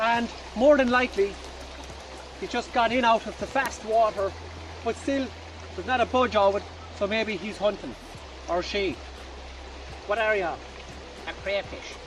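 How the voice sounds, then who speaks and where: A man's high-pitched voice at a moderate pace, with ordinary pitch variation, long, frequent pauses, and noticeable background noise. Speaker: bushcraft instructor. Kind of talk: outdoor tutorial. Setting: outdoors by a river. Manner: loud, shouting.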